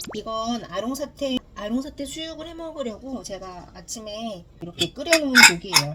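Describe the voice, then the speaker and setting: Amid noticeable background noise, a high-pitched woman talks with hardly any pauses, very wide pitch swings and big swings in loudness. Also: moderate pace. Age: 40s. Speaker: working mother. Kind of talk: casual vlog talk to camera. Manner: chatty.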